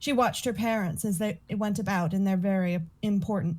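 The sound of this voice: A reading voice, unforced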